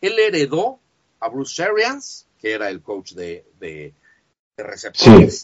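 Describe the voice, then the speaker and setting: A man with a Mexican accent speaks at medium pitch with vocal fry. His pace is fairly slow, and his pitch swings very widely. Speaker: sports fan site writer. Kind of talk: casual interview chat. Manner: halting, many fillers.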